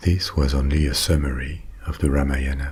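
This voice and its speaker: Calm, monotone delivery at a fairly slow pace, flat intonation, with noticeable background noise. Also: man. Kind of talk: bedtime ASMR story narration. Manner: calm, soft, slow.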